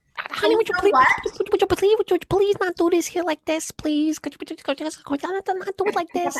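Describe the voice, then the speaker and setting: Whiny in tone and extremely high in pitch, a put-on character voice rattles along at a fairly quick pace with hardly any pauses. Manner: meek, whiny.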